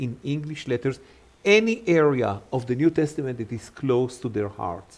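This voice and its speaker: Man with an Israeli accent, medium pitch and moderate pace. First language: Hebrew. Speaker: Hebrew Bible teacher. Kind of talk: interview.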